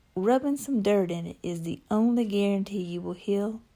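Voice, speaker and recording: Here a woman with a slight Southern accent talks at a fairly slow pace. Her medium-pitched voice has a dark, mellow tone and ordinary pitch variation. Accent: slight southern drawl. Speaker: spoken word poet. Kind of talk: poetry reading.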